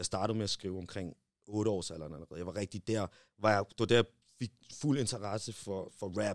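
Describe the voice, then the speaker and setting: In a plain, everyday voice, a man talks at a fairly quick pace and a fairly low pitch, with ordinary pitch variation. His loudness swings widely, and the sound is dry and close with no echo. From Denmark. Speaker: rapper. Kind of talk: casual chat.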